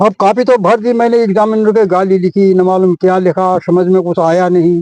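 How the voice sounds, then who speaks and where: A man with a high voice and a dark, mellow tone. The sound is dry and close with no echo, and his intonation stays fairly even. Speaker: retired teacher. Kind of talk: interview answer.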